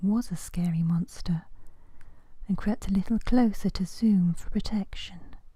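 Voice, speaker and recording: Whispering, the speaker is soft-spoken throughout. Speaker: ASMR storyteller. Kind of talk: soft-spoken bedtime story narration. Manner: soft-spoken, whispery, relaxing.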